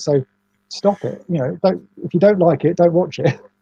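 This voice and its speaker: A man mumbles at a fairly quick pace in a high, dark, mellow voice with an English accent. His pitch variation is ordinary, and the sound is dry and close with no echo. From England. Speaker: toy restoration YouTuber. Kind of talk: casual chat. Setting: livestream video call. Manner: soft-spoken, quiet; mumbling.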